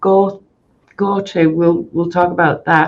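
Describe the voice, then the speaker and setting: A woman with a British accent, fairly low in pitch, at a fairly slow pace with fairly even intonation. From UK. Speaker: mental health nurse educator. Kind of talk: conference presentation. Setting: stage with audience.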